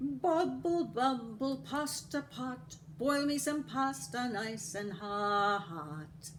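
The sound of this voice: A woman's put-on character voice, high-pitched and very slow, with lively intonation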